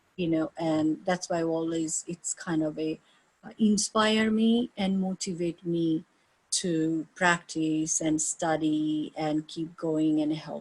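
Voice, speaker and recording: A woman with an Indian accent talks at a very slow pace, her pitch fairly low. Her intonation stays fairly even, and the sound is dry and close with no echo. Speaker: yoga teacher. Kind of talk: interview. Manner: halting.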